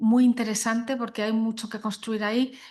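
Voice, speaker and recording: At a fairly quick pace, a woman speaks in a fairly high, somewhat breathy voice with monotone, flat intonation. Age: 60s. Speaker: guest speaker on sustainability and law. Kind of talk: panel talk to young lawyers. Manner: hesitant, many fillers.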